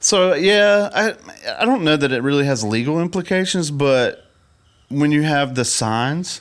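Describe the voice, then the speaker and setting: The voice has lively intonation and moves at a fairly slow pace. Its loudness stays very even. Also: man, fairly high pitch for a man. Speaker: podcast co-host, photographer. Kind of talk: casual chat.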